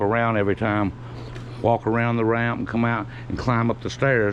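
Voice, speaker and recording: Against noticeable background noise, a man with a Southern US accent talks at a fairly quick pace and medium pitch. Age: 60s. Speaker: vlogger. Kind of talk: casual vlog monologue. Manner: halting, with fillers and restarts.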